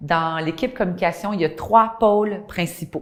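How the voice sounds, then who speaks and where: A woman speaks with a Quebec accent at a medium pitch. Her pace is moderate and her pitch variation ordinary. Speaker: communications director. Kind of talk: corporate testimonial interview.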